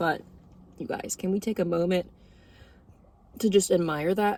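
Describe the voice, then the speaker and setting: A woman uses a put-on character voice, raspy and quiet. Her pitch is fairly low and her pace moderate. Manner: talking quietly, low voice.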